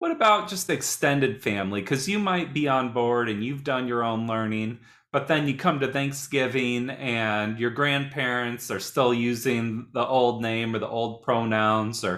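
With an American accent and a normal speaking voice, a man talks at a medium pitch and moderate pace, using ordinary pitch variation. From Indiana, US. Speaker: podcast host, youth worker. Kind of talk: interview.

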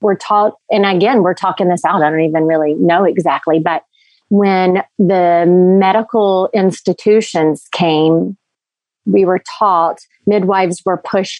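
At a moderate pace, a woman speaks in a plain, everyday voice with medium pitch and fairly even intonation. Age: 40s. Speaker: well-being doula. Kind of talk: casual interview chat.

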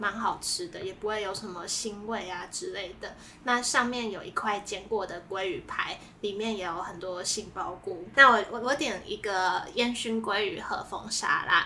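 A woman speaks at a moderate pace with a fairly high pitch and ordinary pitch variation. She leaves hardly any pauses, and audible room echo is present. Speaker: food podcast co-host. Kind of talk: casual chat. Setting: in-person recording together.

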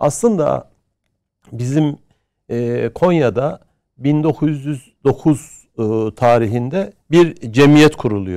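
In a dark, mellow tone, a man talks very slowly. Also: fairly high pitch for a man, lively intonation. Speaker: history professor. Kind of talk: interview. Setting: studio. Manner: hesitant, many filler sounds.

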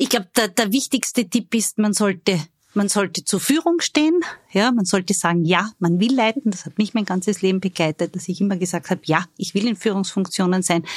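Recorded dry and close with no echo, a woman talks at a fairly quick pace in a medium, somewhat breathy voice. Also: ordinary pitch variation. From Austria, Styria (Judenburg). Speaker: labour market agency executive. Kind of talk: interview.

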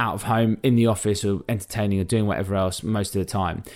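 On a very clean recording with a silent background, a man with a London accent talks at a fairly low pitch and a fairly quick pace. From North London. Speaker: podcast co-host. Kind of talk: casual chat.

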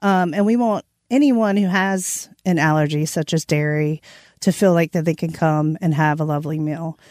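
A woman speaks with a plain, everyday voice, fairly low in pitch, at a moderate pace with ordinary pitch variation. The recording is very clean with a silent background, and the sound is dry and close with no echo. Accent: American. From Eastern North Carolina, Halifax County. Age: 40s. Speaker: vegan chef and restaurant owner. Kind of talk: casual interview.

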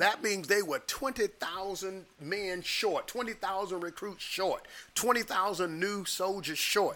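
A man's high-pitched, raised and projected voice at a very slow pace with hardly any pauses, over noticeable background noise. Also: ordinary pitch variation. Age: 60s. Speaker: pastor. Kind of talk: casual chat.

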